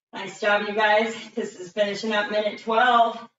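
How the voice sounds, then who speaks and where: Fairly slow speech from a woman, with audible room echo and light background noise. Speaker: fitness instructor. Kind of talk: live workout coaching with interval countdowns. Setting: video call. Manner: energetic, clipped countdown cues; encouraging, breathless exclamations mid-exercise. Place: gym. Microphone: camera far.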